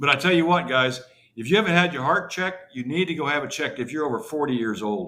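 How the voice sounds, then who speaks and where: Here a man speaks at a very fast pace. His fairly high voice has lively intonation. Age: 60s. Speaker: call-in show guest, music fan event founder. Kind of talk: casual chat.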